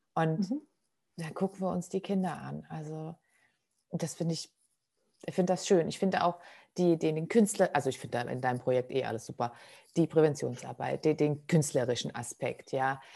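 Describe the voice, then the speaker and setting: A woman's very deep, low voice with a dark, mellow tone and ordinary pitch variation, at a moderate pace with long, frequent pauses, over a quiet background. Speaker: podcast host. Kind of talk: casual interview chat.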